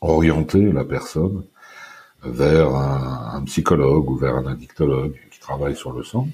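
This man's pitch is very deep and low. He talks at a fairly slow pace with ordinary pitch variation. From France, Brittany / northern Paris suburbs. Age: 50s. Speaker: former export sales manager, recovering addict. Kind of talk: personal testimony interview.

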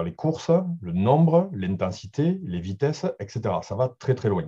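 Somewhat breathy and dark, mellow in tone, a man speaks at a moderate pace with lively intonation against a quiet background. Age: 40s. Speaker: football data analyst. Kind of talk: interview. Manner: halting.

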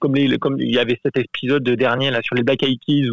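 A man speaks with fairly even intonation. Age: adult. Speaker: listener sharing a story. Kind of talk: testimony.

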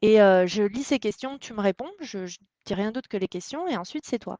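A woman with an unremarkable speaking voice: medium pitch, ordinary pitch variation, moderate pace, dry, close sound with no echo, and a quiet background. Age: 30s. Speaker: startup co-founder. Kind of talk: interview.

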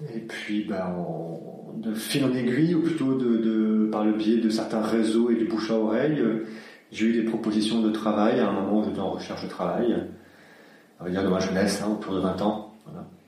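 A man's fairly low voice at a moderate pace, with noticeable background noise and audible room echo. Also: ordinary pitch variation. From southern France (Aix-en-Provence). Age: 40s. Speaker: dance class pianist. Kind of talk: interview. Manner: hesitant, many fillers.

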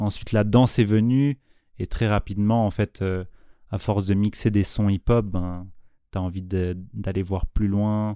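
A man's dark, mellow, fairly low voice at a fairly slow pace with long, frequent pauses, in a very clean recording with a silent background. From Switzerland, Nyon. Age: 20s. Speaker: beatmaker and dancer. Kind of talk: casual interview.

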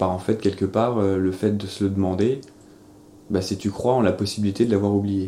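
Very even in loudness, this man's voice has a dark, mellow tone, a fairly low pitch and monotone, flat intonation. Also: moderate pace. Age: 30s. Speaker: interviewee sharing personal beliefs. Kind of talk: personal testimony. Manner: halting, with frequent fillers.

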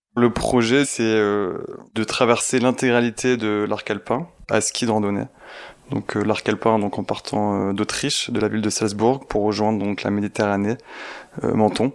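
A man speaks in a normal speaking voice, fairly low in pitch. His intonation stays fairly even. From Provence, southern France. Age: 20s. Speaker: engineer and ski mountaineer. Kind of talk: storytelling interview.

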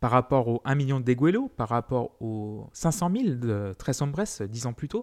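A man with an ordinary speaking voice talks at a fairly slow pace with hardly any pauses, using a medium pitch and lively intonation. The recording is very clean, with a silent background and a dry, close sound with no echo. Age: 30s. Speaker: music podcast host. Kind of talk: solo music history podcast.

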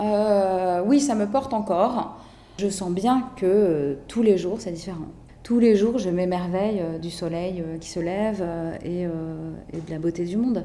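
Over noticeable background noise and audible room echo, a woman speaks very slowly at a medium pitch with ordinary pitch variation. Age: 40s. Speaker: cancer survivor. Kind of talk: interview testimony. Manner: hesitant, frequent fillers.

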